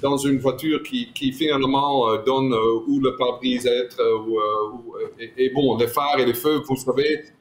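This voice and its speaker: Speaking with a non-native accent at a moderate pace, a man keeps his medium-pitched voice flat and monotone. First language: not French (speaking French). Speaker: car designer. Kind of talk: interview. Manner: halting.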